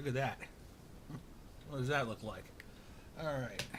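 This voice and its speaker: Fairly even intonation from a man at medium pitch, against noticeable background noise. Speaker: home cooking vlogger. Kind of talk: casual cooking tutorial. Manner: loud, shouting to be heard. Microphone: far from camera mic, has to shout.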